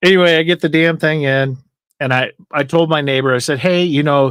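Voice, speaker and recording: A man's fairly high voice at a moderate pace, with ordinary pitch variation, dry and close with no echo, on a very clean recording with a silent background. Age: 50s. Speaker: livestream host. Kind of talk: casual chat. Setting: live stream. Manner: animated.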